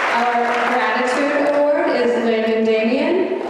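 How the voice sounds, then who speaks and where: Over crowd noise in the background, a woman with a high pitch and ordinary pitch variation speaks at a very slow pace. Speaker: school staff member presenting awards. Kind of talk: award ceremony announcements. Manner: loud, projecting.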